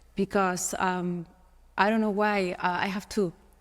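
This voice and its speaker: Here a woman speaks with a Spanish accent. Her pitch sits at a medium level. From Spain. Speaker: model. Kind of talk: podcast interview. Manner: halting.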